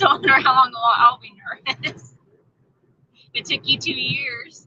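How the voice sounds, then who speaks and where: Raised, projected woman's voice with an American accent, high-pitched, with ordinary pitch variation at a moderate pace. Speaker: homestead channel vlogger. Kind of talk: livestream chat with viewers. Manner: stammering, repeats when nervous.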